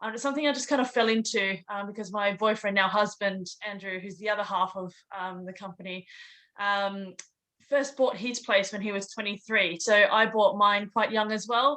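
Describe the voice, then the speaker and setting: A woman with an Australian accent speaks at a moderate pace, her tone bright and sharp. Her intonation is fairly even while her loudness swings widely. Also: medium pitch for a woman. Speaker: property investor. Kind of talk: interview.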